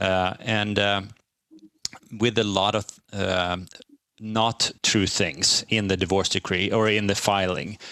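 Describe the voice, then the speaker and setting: With a Swedish accent, a man speaks very slowly at a fairly low pitch, leaving long, frequent pauses. His tone is bright and sharp, his loudness very even and his intonation monotone and flat. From Sweden. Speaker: divorced father sharing his story. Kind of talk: interview. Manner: halting, many fillers.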